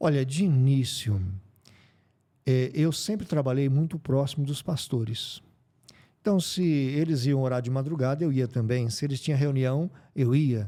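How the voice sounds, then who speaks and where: A man's dark, mellow voice at a fairly slow pace, on a very clean recording with a silent background. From Brazil, interior of São Paulo state. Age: 60s. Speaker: pastor. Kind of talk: interview. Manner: halting.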